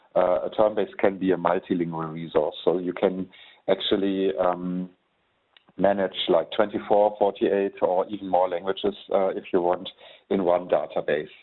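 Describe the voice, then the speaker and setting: Speaking with a German accent, a man keeps to a moderate pace. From Germany. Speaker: software trainer. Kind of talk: webinar tutorial. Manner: hesitant, many fillers.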